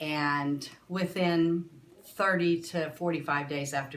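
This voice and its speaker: Audible room echo surrounds a woman who speaks with ordinary pitch variation. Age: 60s. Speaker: patient. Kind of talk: testimony.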